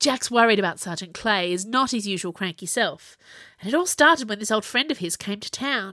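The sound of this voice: The reading comes across as unforced. Its intonation moves about in a lively way.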